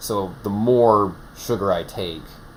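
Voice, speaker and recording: Noticeable background noise is present. Over it, a man talks with fairly even intonation. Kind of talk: casual chat. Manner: halting, many restarts.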